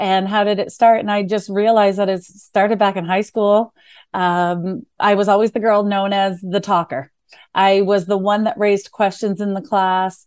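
Over a quiet background, a woman with a medium pitch speaks at a moderate pace in flat, monotone intonation with a Canadian accent. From New Brunswick, Canada. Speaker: client success manager. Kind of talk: casual interview.

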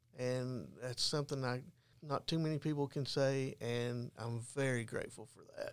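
The man talks at a medium pitch with fairly even intonation. He has an ordinary speaking voice. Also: moderate pace, big swings in loudness. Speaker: peer support specialist. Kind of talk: testimony.

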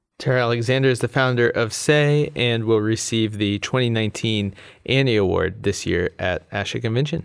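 Here is an ordinary speaking voice with ordinary pitch variation. The pace is moderate. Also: man, medium pitch for a man. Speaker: podcast host. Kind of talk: interview.

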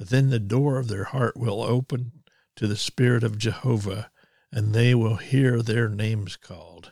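A man speaks at a medium pitch and a fairly slow pace. His tone is dark and mellow, and somewhat breathy. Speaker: preacher. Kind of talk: fervent prayer, declaring and decreeing over the nation. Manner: intense, commanding, authoritative; earnest, impassioned.

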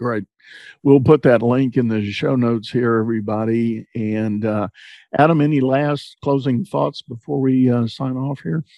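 A man's medium-pitched voice with a Texan accent. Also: ordinary pitch variation, moderate pace. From Texas. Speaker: podcast host, leadership coach. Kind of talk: interview. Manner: laid-back, low-key.

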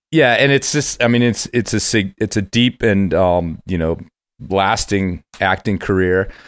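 In a very clean recording with a silent background, a plain, everyday voice with an American accent shows ordinary pitch variation. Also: man. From US Midwest, Cincinnati, Ohio. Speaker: podcast host. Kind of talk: casual chat.

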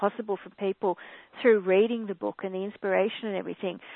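A woman with an Australian accent, medium in pitch, with fairly even intonation. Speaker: spiritual author. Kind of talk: webcast interview. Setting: call.

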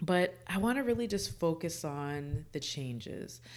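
A woman's warm tone and lively intonation on a very clean recording with a silent background. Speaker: OB-GYN physician and podcast host. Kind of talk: podcast monologue with interview clips. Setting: studio. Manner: warm, conversational.

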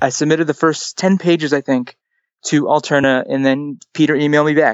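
A man with a normal speaking voice, fairly high in pitch, at a fairly quick pace. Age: 20s. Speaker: comic book writer. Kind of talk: casual chat.

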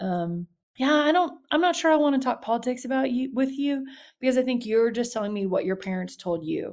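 A woman speaks in a Louisiana accent at a fairly quick clip, her high voice making very wide pitch swings. The recording is very clean, with a silent background. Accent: Southern US (Louisiana). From US South, south Louisiana (Baton Rouge). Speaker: youth minister. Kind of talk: interview.

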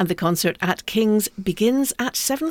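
A woman's plain, everyday voice with lively intonation at a moderate pace, dry and close with no echo. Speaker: concert calendar co-presenter. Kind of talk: radio announcer reading concert listings. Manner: clear, brisk, polished, even-paced broadcast delivery.

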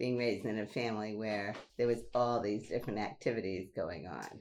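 A woman speaks with a New York accent in a very deep, low voice. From Brooklyn, New York. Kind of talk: casual interview chat.

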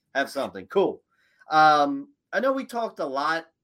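With an energetic tone and ordinary pitch variation, a man speaks at a fairly high pitch on a very clean recording with a silent background. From Philadelphia, US. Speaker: podcast host, mortgage broker. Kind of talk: interview.

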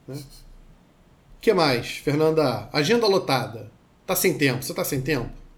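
A man's somewhat breathy voice at a fairly high pitch, with lively intonation, moderate pace, and long, frequent pauses. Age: 40s. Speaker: therapist. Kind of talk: casual chat.

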